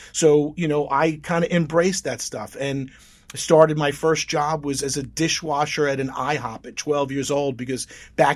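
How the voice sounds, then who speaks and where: A man with an American accent uses a plain, everyday voice, fairly high pitch and fairly even intonation on a very clean recording with a silent background. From Long Island, New York. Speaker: motivational speaker. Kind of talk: interview.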